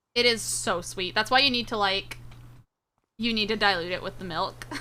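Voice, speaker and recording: Speaking with an American accent, a woman uses a medium pitch, a bright, sharp, animated tone, vocal fry, ordinary pitch variation and a moderate pace. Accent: Southern accent shows only when upset. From US South/Midwest border. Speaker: VTuber streamer. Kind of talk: casual livestream chat.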